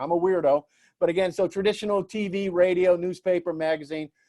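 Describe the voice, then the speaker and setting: On a very clean recording with a silent background, a man with a high voice speaks at a very fast pace in an animated tone with ordinary pitch variation. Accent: New Orleans. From US South, New Orleans. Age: 60s. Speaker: public relations speaker. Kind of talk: presentation talk. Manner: animated, with many fillers.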